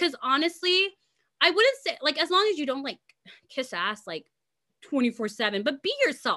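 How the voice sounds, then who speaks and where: A woman's high-pitched, bright, sharp, raised and projected voice, with very wide pitch swings, at a moderate pace. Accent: American. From US West Coast, Los Angeles. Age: 20s. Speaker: content creator and singer. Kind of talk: casual interview. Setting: video call.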